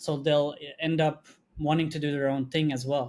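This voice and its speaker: A man with a non-native accent talks at a fairly high pitch. His pace is fairly quick and his intonation fairly even. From Belgium. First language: not English. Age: 20s. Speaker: video agency co-founder. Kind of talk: podcast interview. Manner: many fillers and restarts.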